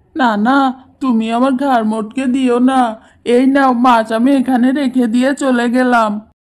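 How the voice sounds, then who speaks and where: A woman does a high, cartoonish character voice at a moderate pace. Her intonation is monotone and flat, and her loudness stays very even. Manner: fearful, complaining.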